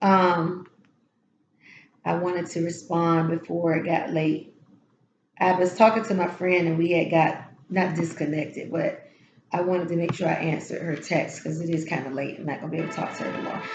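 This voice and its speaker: Long, frequent pauses break up the speech, heard with audible room echo. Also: woman, fairly low pitch for a woman. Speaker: tarot reader. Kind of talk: spiritual encouragement talk. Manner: casual, halting with fillers.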